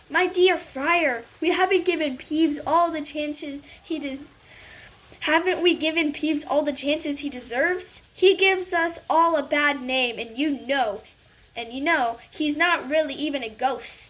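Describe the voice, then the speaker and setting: A woman puts on a character voice, pitched high and spoken at a moderate pace. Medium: read story.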